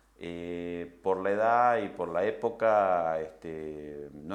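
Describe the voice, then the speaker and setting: A man's very deep, low voice with ordinary pitch variation and audible room echo. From Argentina, Rosario. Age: 60s. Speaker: film director. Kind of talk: interview. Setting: recorded interview. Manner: hesitant, many fillers.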